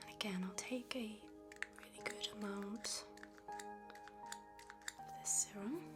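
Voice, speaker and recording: With music playing in the background, a soft-spoken voice in a calm tone goes along at a very slow pace. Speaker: facialist / ASMR therapist. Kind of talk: soft-spoken ASMR treatment narration. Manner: soft-spoken, calm.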